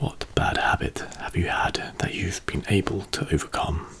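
A man whispering in a calm tone at a moderate pace. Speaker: video host. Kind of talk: soft-spoken question reading, ASMR-like. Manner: soft-spoken, calm and hushed. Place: home room. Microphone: studio mic.

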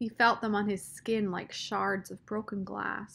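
The voice reads aloud naturally. Its pitch doesn't move much, staying fairly even.

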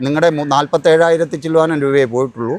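A man talks in a normal speaking voice at a fairly high pitch. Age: 60s. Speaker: army veteran. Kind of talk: news interview testimony.

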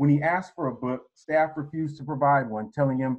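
A man with a fairly high pitch talks at a fairly quick pace, his pitch varying in an ordinary way over a quiet background. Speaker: attorney. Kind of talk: prepared statement; press statement. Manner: formal. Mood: serious, measured. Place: office. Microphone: headset.

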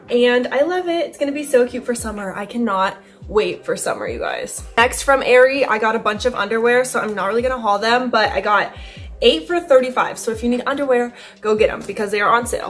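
Speaking at a fairly quick pace, a woman with a high voice shows ordinary pitch variation while faint music plays in the background. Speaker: vlogger. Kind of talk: casual vlog chat. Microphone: camera far.

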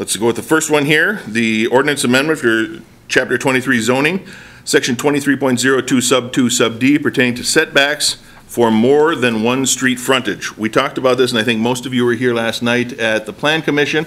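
With a bright, sharp tone and fairly even intonation, a man speaks at a moderate pace. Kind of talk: chairing a meeting. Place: meeting room. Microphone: podium.

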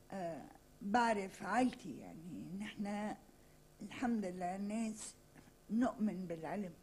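A somewhat breathy woman's voice at a very slow pace, with ordinary pitch variation over light background noise. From Lebanon. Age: 60s. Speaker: writer and journalist; journalist. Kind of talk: interview. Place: studio. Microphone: podium.

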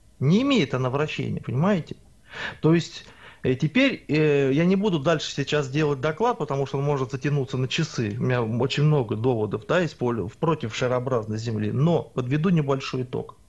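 A man with a fairly high pitch talks in an unremarkable speaking voice at a moderate pace, with ordinary pitch variation. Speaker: alternative earth theories researcher. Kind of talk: heated debate. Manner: argumentative.

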